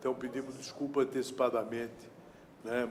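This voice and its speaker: A man with a medium pitch speaks at a moderate pace in a monotone, flat intonation. Noticeable background noise and audible room echo are present. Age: 60s. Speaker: trade union president. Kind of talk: public speech. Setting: city council chamber. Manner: formal.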